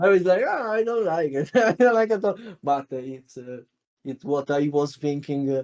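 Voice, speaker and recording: A man talks in an Italian accent at a moderate pace. His pitch is fairly high. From Italy. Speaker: card game content creator and panel member. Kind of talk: interview. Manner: halting, many fillers.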